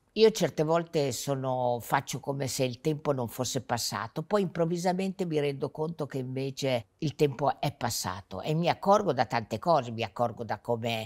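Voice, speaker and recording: At a moderate pace, a woman with a very deep, low pitch speaks in a lively intonation against a quiet background. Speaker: interviewee. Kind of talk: interview answer. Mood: warm, amused. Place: studio. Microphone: lapel.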